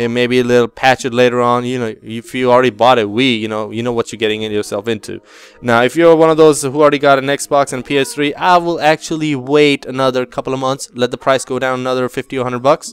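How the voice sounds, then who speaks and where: A man speaks very fast at medium pitch with hardly any pauses. His intonation is fairly even, and the sound is dry and close with no echo. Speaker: gaming youtuber. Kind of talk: casual video review. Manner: halting, many fillers.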